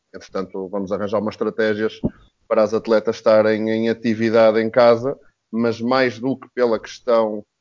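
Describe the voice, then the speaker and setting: This man's voice sits fairly low, and he talks at a moderate pace. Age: 30s. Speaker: basketball coach. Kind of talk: casual panel discussion.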